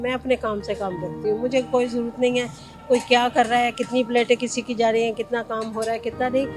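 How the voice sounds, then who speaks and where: A woman speaks at a high pitch. Music plays in the background. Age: 60s. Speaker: roadside biryani seller. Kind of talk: interview answer.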